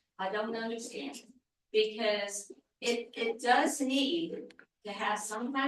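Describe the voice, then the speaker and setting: A woman's fairly high voice at a very slow pace, with ordinary pitch variation and audible room echo. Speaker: public commenter at town meeting. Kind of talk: public comment at planning meeting. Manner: animated.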